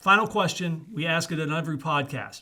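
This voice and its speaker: Speaking fairly slowly, a man with a fairly high pitch and a bright, sharp tone uses ordinary pitch variation, recorded very cleanly against a silent background. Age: 60s. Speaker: podcast host. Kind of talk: casual interview chat. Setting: studio.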